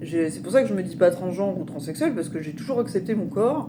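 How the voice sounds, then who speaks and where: Against noticeable background noise and audible room echo, a woman with a fairly low pitch talks at a moderate pace, her voice making very wide pitch swings. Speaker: spiritual vlogger. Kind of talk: personal testimony vlog. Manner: halting, many fillers.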